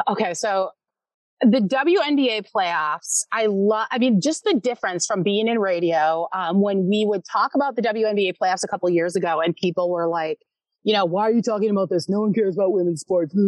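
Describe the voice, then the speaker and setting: With very even loudness and ordinary pitch variation, a woman uses a plain, everyday voice at a medium pitch. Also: moderate pace. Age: 40s. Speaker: sportswriter and author. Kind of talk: casual interview chat. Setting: podcast recording.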